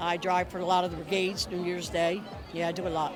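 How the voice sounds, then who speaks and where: A woman with a Philadelphia accent at a moderate pace, music in the background and audible room echo. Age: 70s. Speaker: bus driver. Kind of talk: on-location interview. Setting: outdoors at a pier event.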